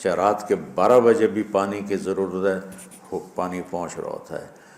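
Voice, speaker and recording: A man's fairly low-pitched voice, a plain, everyday voice. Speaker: Islamic preacher giving a sermon. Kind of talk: emotional religious sermon (bayan).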